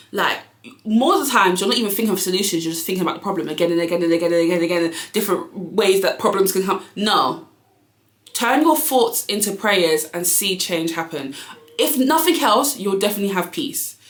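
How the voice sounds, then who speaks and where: With lively intonation and a medium pitch, a woman talks at a fairly quick pace amid audible room echo. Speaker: YouTuber and business owner. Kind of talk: casual motivational vlog. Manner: fast.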